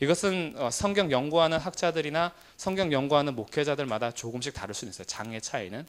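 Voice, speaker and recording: A man with a fairly high voice talks at a very fast pace, with hardly any pauses and big swings in loudness. His intonation is lively, and the recording is very clean with a silent background. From South Korea, Jumunjin (Gangwon coast). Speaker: pastor teaching Bible class. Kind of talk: Bible lecture. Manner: fillers like uh.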